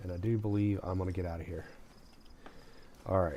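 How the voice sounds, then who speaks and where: Soft-spoken and very deep in pitch, a man talks with audible room echo around him. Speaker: gaming streamer. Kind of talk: live gameplay commentary.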